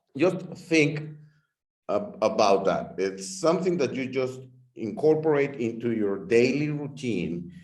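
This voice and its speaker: A man with a slight Mexican accent, very wide pitch swings and a very slow pace, with audible room echo. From Mexico. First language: Spanish. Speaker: product distributor. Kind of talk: product explanation.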